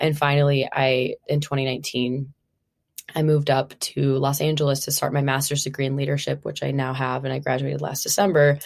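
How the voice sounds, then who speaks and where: A woman in an American accent talks at a fairly quick pace with a very deep, low pitch. Her intonation is monotone and flat. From Minnesota. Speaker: body image coach. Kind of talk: casual interview.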